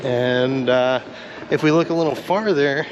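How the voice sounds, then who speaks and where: Noticeable background noise around a man, his pitch shifting by an ordinary amount. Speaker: car YouTuber. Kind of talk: casual vlog walkthrough. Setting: Corvette museum, indoors. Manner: casual, hesitant with fillers.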